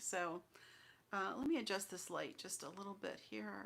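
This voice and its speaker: A woman speaks softly at a moderate pace. Her pitch sits in the medium range. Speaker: crafting channel host. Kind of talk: live stream update. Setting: livestream at home computer. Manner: soft-spoken.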